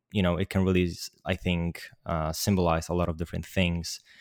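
A voice with a Polish accent comes through in a dry, close sound with no echo. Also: man. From Poland. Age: young. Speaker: 3D artist and animator. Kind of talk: interview.

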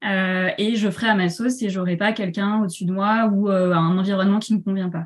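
A woman speaks with monotone, flat intonation. Her voice is somewhat breathy. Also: medium pitch for a woman, fairly quick pace. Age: 30s. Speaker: shop owner and entrepreneur. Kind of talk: interview. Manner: hesitant, many fillers.

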